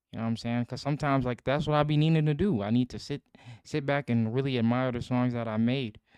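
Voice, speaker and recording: With a quiet background, a man talks at a very fast pace and a medium pitch with fairly even intonation. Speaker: musician vlogger. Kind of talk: casual self-talk monologue. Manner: stuttering, halting; rambling, filler-heavy.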